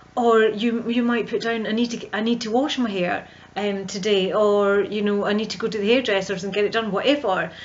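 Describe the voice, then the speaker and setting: In a strong Scottish accent, a woman talks at a fairly quick pace with fairly high pitch and fairly even intonation. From central Scotland. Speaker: visibility coach. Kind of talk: vlog monologue. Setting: home video recording.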